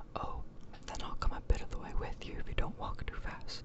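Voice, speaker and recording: Someone whispers over noticeable background noise. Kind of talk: ASMR story reading. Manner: whispered.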